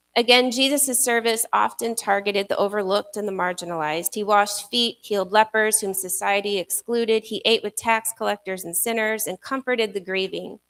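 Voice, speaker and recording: Soft-spoken and fairly high-pitched, a woman talks at a fairly quick pace with hardly any pauses and ordinary pitch variation, in a dry, close sound with no echo. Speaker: pastor. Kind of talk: sermon.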